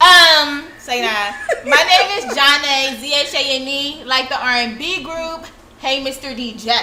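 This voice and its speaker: A woman's raised, projected voice, high in pitch and animated in tone, moves at a fairly slow pace with ordinary pitch variation and big swings in loudness, amid noticeable background noise and audible room echo. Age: 20s. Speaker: teacher and podcaster. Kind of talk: casual chat.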